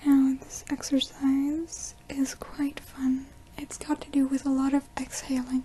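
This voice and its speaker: Soft-spoken whispering over noticeable background noise. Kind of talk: ASMR breathing guidance. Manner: soft-spoken, whispered.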